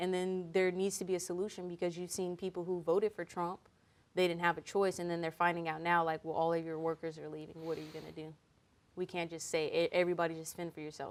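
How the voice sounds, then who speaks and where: With an American accent, a woman talks at a very fast pace in a fairly low pitch, her intonation monotone and flat. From Fresno, California. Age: young. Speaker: podcast host. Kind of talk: casual chat.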